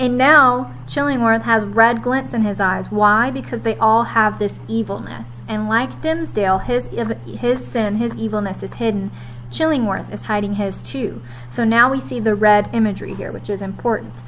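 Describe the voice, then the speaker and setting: Noticeable background noise and audible room echo fill the recording. A woman's pitch swings very widely. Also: medium pitch for a woman, moderate pace. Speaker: high school English teacher. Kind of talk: recorded lesson recap for students.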